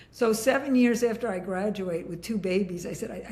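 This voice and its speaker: There is audible room echo and noticeable background noise as a woman speaks. She goes at a fairly quick pace with ordinary pitch variation. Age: 70s. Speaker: leadership and workforce consultant. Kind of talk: interview conversation.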